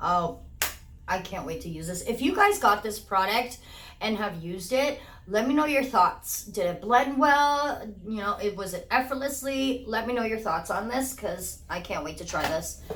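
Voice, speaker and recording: Amid audible room echo, a woman speaks at a fairly high pitch and a moderate pace, with lively intonation. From Portuguese-speaking country. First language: Portuguese. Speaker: beauty YouTuber. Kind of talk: unboxing video, casual chat. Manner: enthusiastic; halting on words.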